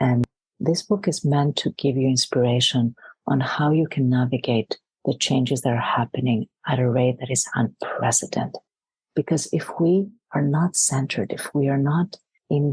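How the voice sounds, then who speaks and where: A woman speaks in a very deep, low voice with a somewhat breathy quality, at a moderate pace. Her pitch varies in an ordinary way, and the sound is dry and close with no echo. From Greece. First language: Greek. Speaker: leadership coach. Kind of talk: podcast interview.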